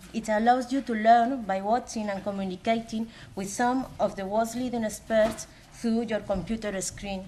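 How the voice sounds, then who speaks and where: With a Spanish accent, a woman speaks at a moderate pace in a fairly high, somewhat breathy voice of dark, mellow tone, her intonation monotone and flat. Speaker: academic coordinator. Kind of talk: conference presentation. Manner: halting.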